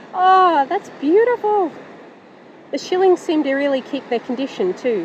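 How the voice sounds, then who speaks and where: High-pitched speech from a woman with an Australian accent and very wide pitch swings, amid noticeable background noise. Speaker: metal detecting YouTuber. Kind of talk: casual vlog narration. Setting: outdoors on a beach. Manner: animated; fast.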